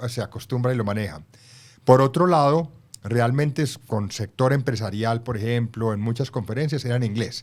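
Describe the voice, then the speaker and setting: A man with an unremarkable speaking voice, medium pitch, ordinary pitch variation, and a fairly quick pace. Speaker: former ambassador and author. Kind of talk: interview.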